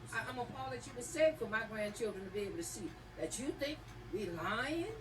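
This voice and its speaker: Very fast and fairly high-pitched, a woman's voice moves through very wide pitch swings. Room echo is audible, along with noticeable background noise. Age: 60s. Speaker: hurricane survivor testifying. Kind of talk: congressional hearing testimony. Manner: heated.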